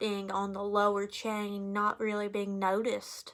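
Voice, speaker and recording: Someone with a strong Appalachian Kentucky accent speaks at a fairly slow pace. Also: woman. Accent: thick Appalachian Kentucky. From Eastern Kentucky, Appalachia. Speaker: college student. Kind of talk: class speech.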